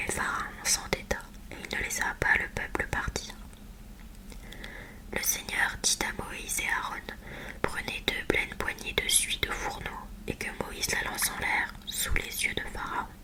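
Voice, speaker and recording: Whispering at a very slow pace, a woman leaves long, frequent pauses amid noticeable background noise. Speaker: ASMR creator reading the Bible. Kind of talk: Bible reading, relaxation ASMR. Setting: close-mic studio recording with a Blue Yeti microphone. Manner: whispered, soft, close-mic.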